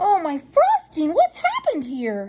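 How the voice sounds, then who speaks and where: A woman puts on a squeaky character voice. Her pitch is extremely high and swings very widely. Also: moderate pace. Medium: read story. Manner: cheerful, kind.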